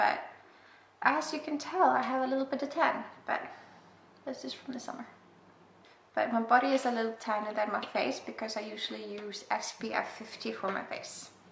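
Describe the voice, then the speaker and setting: In an Icelandic accent, a woman speaks at a fairly quick pace and fairly high pitch, with noticeable background noise and audible room echo. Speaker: beauty vlogger. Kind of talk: makeup tutorial. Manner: casual, self-deprecating.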